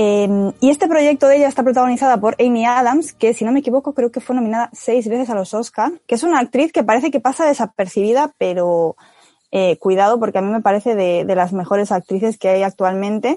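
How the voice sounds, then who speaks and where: Fairly high in pitch with a dark, mellow tone, a woman speaks at a fairly quick pace with lively intonation. The sound is dry and close, with no echo. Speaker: podcast co-host. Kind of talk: casual chat.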